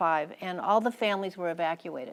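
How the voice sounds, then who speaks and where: With an American accent, this voice moves at a moderate pace with ordinary pitch variation. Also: woman. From United States. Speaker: former ambassador's wife and War College lecturer. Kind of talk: public lecture. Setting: lecture hall with audience.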